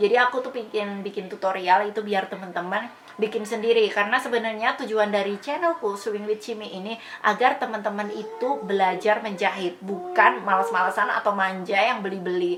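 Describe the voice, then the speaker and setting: With noticeable background noise behind her, a woman talks fairly quickly at a medium pitch, with ordinary pitch variation and hardly any pauses. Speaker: sewing tutorial youtuber. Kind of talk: casual Q&A vlog talk.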